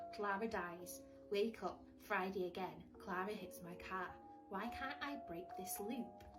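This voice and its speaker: Over music in the background, a woman talks in an upbeat tone at a very slow pace. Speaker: book reviewer. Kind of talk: casual unboxing talk to camera.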